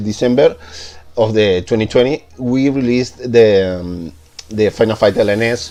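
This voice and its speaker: Over noticeable background noise, a man talks at a medium pitch in a Spanish accent. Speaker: game modder presenting tutorial. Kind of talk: tutorial. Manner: halting, many fillers.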